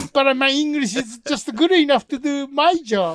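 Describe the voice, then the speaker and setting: On a very clean recording with a silent background and a dry, close sound with no echo, a man with a Japanese accent speaks at a fairly slow pace with lively intonation. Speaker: film producer and podcast co-host. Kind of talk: casual chat.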